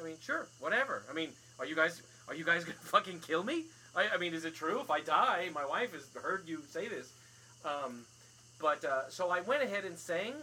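Over noticeable background noise, a man with an American accent speaks at a moderate pace in a high voice. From overseas; later Summit, New Jersey. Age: 40s. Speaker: podcast host and stage actor. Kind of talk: casual chat. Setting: screen porch. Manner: hesitant, many fillers.

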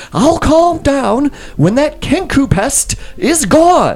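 Putting on a character voice, a man talks in a shrill, extremely high pitch at a very slow pace, with faint music in the background. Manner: irritated, impatient.

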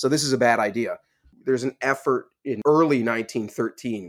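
A man speaks in an American accent with ordinary pitch variation. The recording is very clean, with a silent background. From USA. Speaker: political scientist, professor. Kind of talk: interview conversation. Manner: halting, many restarts.

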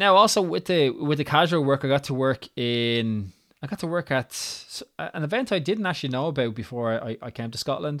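This man has a Dublin accent and a lively intonation. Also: fairly bright tone. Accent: Irish, Dublin area.

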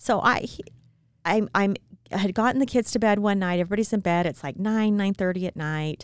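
A woman speaks in a normal speaking voice with an American accent, at medium pitch and a fairly quick pace. Her pitch varies in an ordinary way, and the recording is very clean with a silent background. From small-town Utah. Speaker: podcast co-host. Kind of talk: casual chat.

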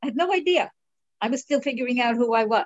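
A woman's fairly high voice with a New York accent and lively intonation. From New York (Brooklyn, Long Island). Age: 70s. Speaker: author and artist. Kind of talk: interview. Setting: video call. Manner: animated.

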